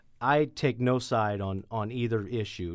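A man speaks in a medium pitch with a Missouri accent. His pitch varies in an ordinary way, and the recording is very clean with a silent background. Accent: Midwestern American (Missouri). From St. Louis County, Missouri. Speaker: state legislator. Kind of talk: interview.

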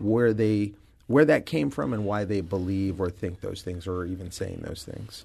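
With a plain, everyday voice, a man speaks at a moderate pace, his pitch fairly low and his pitch variation ordinary. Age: 40s. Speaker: diversity education program director. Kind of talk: radio interview. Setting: radio studio.

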